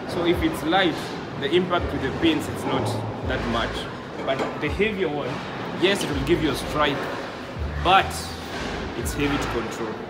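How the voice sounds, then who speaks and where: Music plays in the background as a man speaks. He uses ordinary pitch variation and takes long, frequent pauses. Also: moderate pace. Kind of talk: casual explanation to a visitor. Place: hall. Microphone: phone near.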